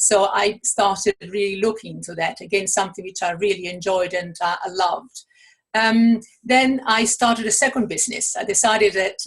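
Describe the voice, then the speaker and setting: With an Italian accent, a woman talks at a fairly quick pace in a somewhat breathy voice with fairly even intonation. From Italy. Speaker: author and coach. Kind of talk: interview.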